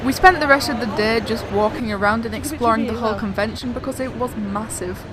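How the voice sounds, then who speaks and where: Very fast speech from a woman with an English accent, fairly high in pitch with ordinary pitch variation, over noticeable background noise. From England. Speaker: vlogger. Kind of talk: scripted narration.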